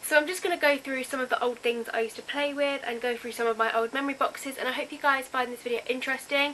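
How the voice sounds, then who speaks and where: Against noticeable background noise, a woman uses a raised, projected voice, high in pitch with fairly even intonation. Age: young. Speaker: youtuber. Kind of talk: casual vlog.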